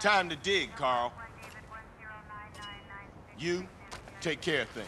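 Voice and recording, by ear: A man puts on a character voice, fairly high in pitch, with a bright, sharp tone, lively intonation and a slow pace.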